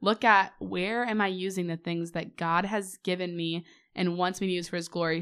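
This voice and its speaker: Using a normal speaking voice with an American accent, a woman talks at a fairly quick pace and medium pitch, her intonation fairly even, in a very clean recording with a silent background. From US Midwest. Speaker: podcast host. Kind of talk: casual chat.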